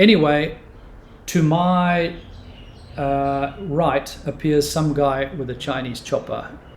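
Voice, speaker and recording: Fairly high male pitch against noticeable background noise. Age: 60s. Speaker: martial arts teacher. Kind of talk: storytelling.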